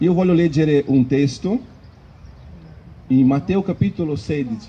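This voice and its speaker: A man speaks at a fairly slow pace with a non-native accent. His voice is somewhat breathy, with lively intonation. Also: fairly high pitch for a man. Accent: foreign accent in Italian. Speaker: preacher. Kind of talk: sermon. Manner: halting.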